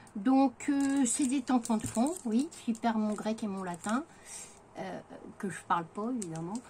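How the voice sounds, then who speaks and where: Noticeable background noise fills the recording. Through it, a woman speaks very slowly. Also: fairly high pitch for a woman, lively intonation. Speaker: craft vlogger. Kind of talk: haul video. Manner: hesitant, many fillers.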